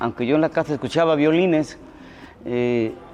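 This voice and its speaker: With music in the background, a man talks at a fairly quick pace in a fairly high voice with ordinary pitch variation. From Veracruz, Mexico (Xalapa). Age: 60s. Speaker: musician. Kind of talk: interview testimony. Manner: hesitant, many fillers.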